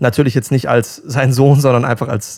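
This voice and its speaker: A man with an unremarkable speaking voice talks at a moderate pace and medium pitch, his intonation fairly even. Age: 20s. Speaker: pop singer. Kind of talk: casual interview.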